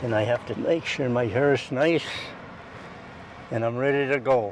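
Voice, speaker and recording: With an American accent, a man speaks at a moderate pace and medium pitch, his intonation fairly even over noticeable background noise. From Cleveland, Ohio. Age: 80s+. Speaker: retired long-time neighborhood resident. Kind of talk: interview answer, reminiscing.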